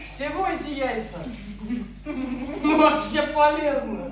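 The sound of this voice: The pace is slow, with ordinary pitch variation. Room echo can be heard. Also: woman, high pitch for a woman.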